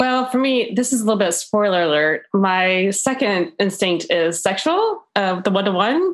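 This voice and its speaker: With an American accent, a woman speaks at a medium pitch in an unremarkable speaking voice, at a moderate pace with hardly any pauses. Her intonation is lively, her loudness very even, and the background quiet. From Florida, US South. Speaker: podcast panel guest. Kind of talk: casual chat.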